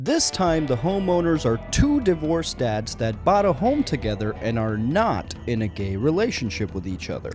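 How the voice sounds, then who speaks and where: A man speaks over faint music in the background. The sound is dry, with no echo. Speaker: commentary host. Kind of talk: comedic commentary. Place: studio. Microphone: handheld.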